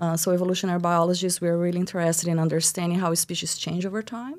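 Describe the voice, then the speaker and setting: At a very fast pace, a woman with a Brazilian accent and a fairly low pitch speaks on a very clean recording with a silent background. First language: Portuguese. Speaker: biology professor. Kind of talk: podcast interview.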